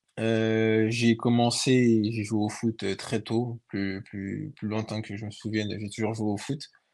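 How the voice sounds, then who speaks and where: Against a quiet background, a man speaks at a very slow pace and medium pitch in monotone, flat intonation with hardly any pauses. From France, Paris region (Sarcelles). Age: 20s. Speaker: professional footballer. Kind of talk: interview.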